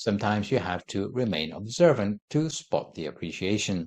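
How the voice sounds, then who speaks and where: The man speaks with lively intonation. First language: not Thai; English. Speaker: Buddhist monk teacher. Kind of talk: dharma talk. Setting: studio.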